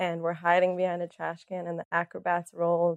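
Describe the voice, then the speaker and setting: A woman talks at a moderate pace in a fairly low voice with monotone, flat intonation. The recording is dry and close, without echo. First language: Russian. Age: 20s. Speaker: therapy client. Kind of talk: therapy session. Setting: filmed therapy session.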